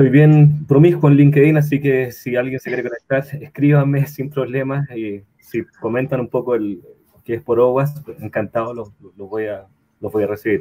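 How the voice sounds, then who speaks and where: This man talks at a moderate pace with a medium pitch, ordinary pitch variation and big swings in loudness. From Chile. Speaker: cybersecurity consultant and entrepreneur. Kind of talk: online talk presentation.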